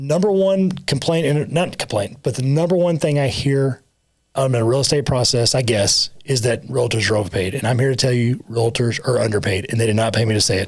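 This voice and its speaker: Speaking at a fairly quick pace, a man with a medium pitch and a somewhat breathy voice keeps very even loudness and lively intonation. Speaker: title company owner and podcast co-host. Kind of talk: casual podcast chat. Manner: halting, self-correcting.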